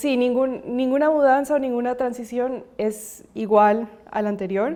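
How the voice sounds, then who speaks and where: A woman speaks at a fairly slow pace. Her voice is high with fairly even intonation. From Colombia, raised from 9 in Ecuador. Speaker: podcast guest. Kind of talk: casual family conversation.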